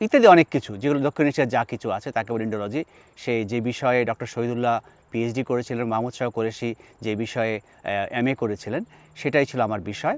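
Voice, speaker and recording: A man with an unremarkable speaking voice talks at a medium pitch with fairly even intonation, in a very clean recording with a silent background and a dry, close sound with no echo. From Bangladesh, Chittagong. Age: 60s. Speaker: linguist and professor. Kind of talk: personal monologue to camera.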